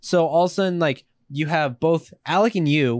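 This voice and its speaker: Recorded very cleanly against a silent background, a man speaks at a moderate pace with ordinary pitch variation, the sound dry and close with no echo. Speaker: podcast guest, scooter rider. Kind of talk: casual chat.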